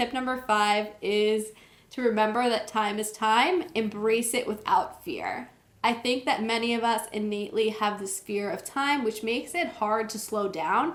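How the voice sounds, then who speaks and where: A fairly high-pitched woman in a plain, everyday voice, with ordinary pitch variation and a fairly slow pace. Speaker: wellness vlogger. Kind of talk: talking-head tutorial.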